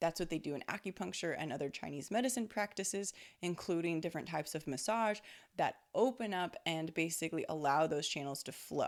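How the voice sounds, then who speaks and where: In a very clean recording with a silent background, a woman with a fairly low pitch speaks at a fairly quick pace in an animated tone with lively intonation. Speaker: spiritual intuitive, energy healer. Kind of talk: casual monologue on spirituality. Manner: speeds up when channeling; animated, conversational with fillers.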